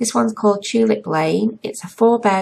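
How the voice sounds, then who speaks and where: With an English accent, a woman speaks at a moderate pace against noticeable background noise. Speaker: gaming youtuber. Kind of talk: voiceover commentary. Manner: chatty.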